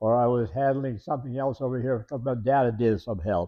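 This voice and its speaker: This man talks at a moderate pace with a Canadian Prairie accent. His pitch sits in the medium range. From Canadian Prairies, rural Saskatchewan. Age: 90s. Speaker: retired teacher telling his life story. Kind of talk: oral history interview. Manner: halting, many repetitions and fillers.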